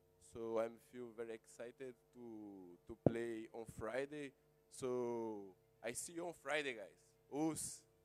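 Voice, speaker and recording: A man's very slow speech is accompanied by music in the background. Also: medium pitch for a man, ordinary pitch variation, big swings in loudness. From Brazil, Rio de Janeiro. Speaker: jiu-jitsu fighter. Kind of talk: press conference statement. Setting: press conference. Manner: halting.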